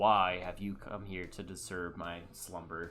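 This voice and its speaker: A man uses a put-on character voice, booming and very deep in pitch. He speaks fairly slowly and flatly in a monotone, with faint music in the background. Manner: imposing, annoyed.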